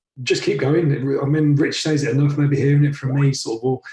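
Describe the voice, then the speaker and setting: A man's fairly high, somewhat breathy voice with a dark, mellow tone and monotone, flat intonation, at a fairly quick pace. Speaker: online course coach. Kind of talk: coaching call.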